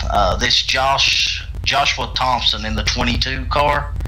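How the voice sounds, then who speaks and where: A man with a strong West Virginia accent at a moderate pace, amid noticeable background noise and audible room echo. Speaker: racing stream commentator. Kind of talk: live commentary.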